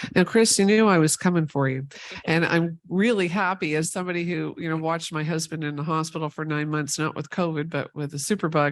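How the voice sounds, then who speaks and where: A woman talks at a fairly quick pace with fairly low pitch and ordinary pitch variation. She has an unremarkable speaking voice. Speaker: panel moderator. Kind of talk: panel discussion.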